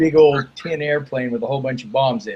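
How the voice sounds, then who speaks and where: This man speaks with an American accent and a fairly high pitch. His voice is somewhat breathy. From Idaho, US. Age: 60s. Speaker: author. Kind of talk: interview answer. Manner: halting.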